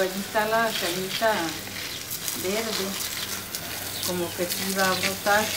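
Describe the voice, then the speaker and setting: The speech moves at a fairly slow pace with loud noise in the background. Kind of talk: casual vlog chat. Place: garden. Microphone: phone near.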